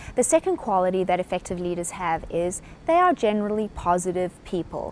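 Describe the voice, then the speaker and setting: Speaking at a fairly quick pace, a woman with a South African accent has a fairly low pitch. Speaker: business speaker. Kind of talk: lecture.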